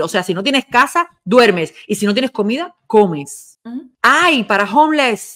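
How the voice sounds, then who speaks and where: An animated woman's voice with very wide pitch swings at a moderate pace, on a very clean recording with a silent background. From Cuba. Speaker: online show host, former radio and TV presenter. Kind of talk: casual commentary chat.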